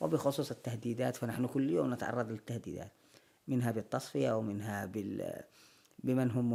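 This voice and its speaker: A man's dark, mellow tone with vocal fry. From Yemen. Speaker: actor. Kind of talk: interview answer.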